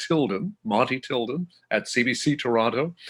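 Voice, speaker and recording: An unremarkable speaking voice with a Canadian accent and ordinary pitch variation. The recording is very clean, with a silent background. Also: man. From southern Manitoba, Canada. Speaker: classical music broadcaster. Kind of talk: interview.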